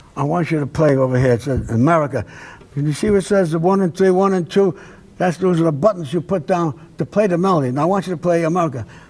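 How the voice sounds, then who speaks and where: A man talks very fast in a high voice. He speaks with a Brooklyn accent. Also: ordinary pitch variation. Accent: New York (Brooklyn). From Brooklyn, New York. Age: 80s+. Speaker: jazz trumpeter and bandleader. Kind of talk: interview storytelling.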